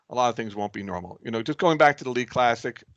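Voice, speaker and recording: A man talks at a medium pitch. His pitch variation is ordinary. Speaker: league president leading a meeting. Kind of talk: meeting presentation. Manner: fast; halting, many fillers and repeats.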